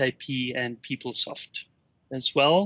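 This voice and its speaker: Here a man talks with a South African accent. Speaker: workplace analytics customer success manager. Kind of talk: interview.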